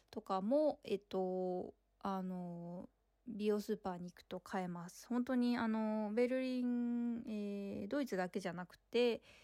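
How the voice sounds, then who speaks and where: A woman with a dark, mellow tone talks at a fairly slow pace, her pitch fairly high with ordinary variation. The recording is very clean, with a silent background. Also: big swings in loudness. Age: 30s. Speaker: podcast host, artist and performer. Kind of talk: casual monologue while walking. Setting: outdoors walking in a city square. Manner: hesitant with many fillers.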